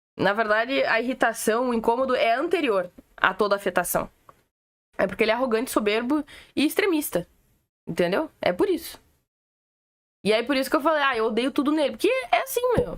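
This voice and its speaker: A woman talks at a fairly quick pace in a high, animated voice with very wide pitch swings. Her loudness stays very even, broken by long, frequent pauses. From Rio Grande do Sul, Brazil. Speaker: political commentator, streamer. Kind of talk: casual live-stream commentary.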